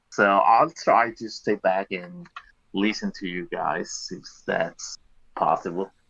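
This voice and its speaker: A man with a non-native accent, at a very slow pace, with big swings in loudness. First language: not English. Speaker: voice chat participant. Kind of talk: casual group discussion.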